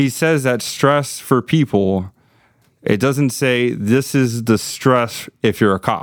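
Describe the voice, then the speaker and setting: In an American accent, a man with an ordinary speaking voice talks at a fairly slow pace with lively intonation and medium pitch. The recording is very clean, with a silent background. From Miami, Florida. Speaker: police officer. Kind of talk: casual chat.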